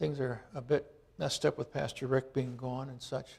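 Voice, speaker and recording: A man's voice with vocal fry at a moderate pace. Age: 60s. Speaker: church leader. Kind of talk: sermon; reading aloud.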